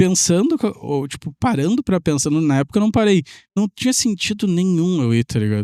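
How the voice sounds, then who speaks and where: A man with a southern Brazilian accent speaks in a high pitch with a dark, mellow tone and lively intonation, the sound dry and close with no echo. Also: very clean recording, silent background. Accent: gaúcho Brazilian Portuguese. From southern Brazil, Pelotas (Rio Grande do Sul). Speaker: tech entrepreneur and programmer. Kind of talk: podcast interview storytelling.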